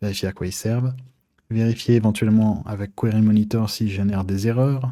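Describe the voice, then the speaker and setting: A man talks at a fairly low pitch with a dark, mellow tone. His intonation stays fairly even, and the recording is very clean with a silent background. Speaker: web hosting provider. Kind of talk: tutorial. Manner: hesitant, many fillers.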